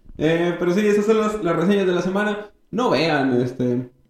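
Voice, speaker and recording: Very wide pitch swings mark this man's animated tone as he speaks at a moderate pace. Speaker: podcast host and comedian. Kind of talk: casual chat.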